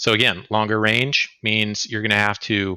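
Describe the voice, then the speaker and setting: Bright, sharp tone and a moderate pace, with an American accent, on a very clean recording with a silent background. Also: man, dry, close sound with no echo. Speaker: helicopter instructor pilot. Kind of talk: lecture.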